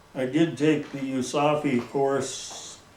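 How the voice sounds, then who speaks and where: The speaker has an American accent and monotone, flat intonation. Audible room echo and noticeable background noise surround the voice. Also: man. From US Midwest, northeast Iowa. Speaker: local elder recalling the past. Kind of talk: oral history interview.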